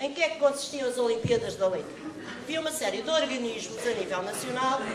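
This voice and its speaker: Amid crowd noise in the background and audible room echo, a woman speaks at a high pitch and a fairly quick pace with ordinary pitch variation. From Portugal (Caldas da Rainha). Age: 60s. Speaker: children's author and English teacher. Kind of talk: talk to school students.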